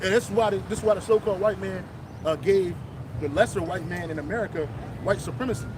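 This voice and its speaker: Loud and at a very fast pace, a man with a high pitch uses lively intonation, broken by long, frequent pauses, with noticeable background noise behind him. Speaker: religious street preacher. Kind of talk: casual religious discussion. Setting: outdoors, public place.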